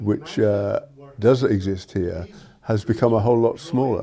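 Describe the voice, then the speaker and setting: Against light background noise, the voice has a dark, mellow tone, ordinary pitch variation and a moderate pace. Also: man. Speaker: local resident. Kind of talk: interview. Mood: concerned, critical. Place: home room. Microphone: lapel.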